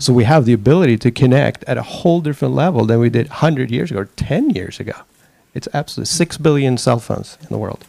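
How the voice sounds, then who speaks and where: In a Swedish accent, a man talks at a very fast pace. His voice sits at medium pitch with a dark, mellow tone. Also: ordinary pitch variation. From Sweden. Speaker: conference attendee. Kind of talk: casual talk.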